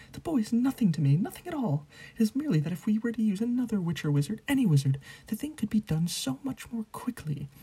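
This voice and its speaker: A squeaky, put-on character voice races at a very fast pace, fairly high in pitch and swinging very widely up and down. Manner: nervous, pleading.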